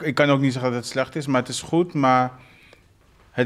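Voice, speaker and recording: The man talks at a fairly high pitch. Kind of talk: casual chat.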